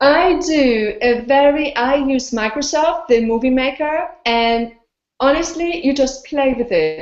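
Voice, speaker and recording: Speaking with a non-native accent, a woman talks at a fairly slow pace in a high pitch with lively intonation. Her loudness stays very even. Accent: foreign. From Austria. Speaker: blogger and video interviewer. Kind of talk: casual interview. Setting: video call. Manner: animated.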